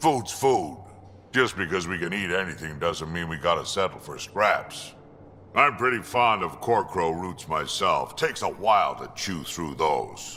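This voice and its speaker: A put-on character voice with lively intonation at a moderate pace, over clear background noise. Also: man, very deep, low pitch for a man. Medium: video game. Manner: gruff, blunt, wry.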